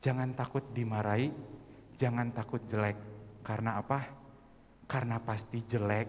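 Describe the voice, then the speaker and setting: This man speaks at a moderate pace and medium pitch. His intonation is monotone and flat, with long, frequent pauses. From West Java (Sundanese region), Indonesia. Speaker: church youth worship singer and speaker. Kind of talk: church training talk to congregation.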